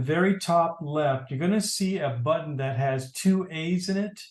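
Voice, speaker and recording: With ordinary pitch variation and a moderate pace, a plain, everyday voice carries on. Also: man. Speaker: tech class instructor. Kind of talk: tutorial. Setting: video call.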